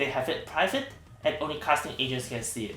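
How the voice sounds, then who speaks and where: Music plays behind a man speaking at a medium pitch, and the room echo is audible. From Hong Kong. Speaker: actor. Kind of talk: tutorial. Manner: fast; hesitant, many fillers.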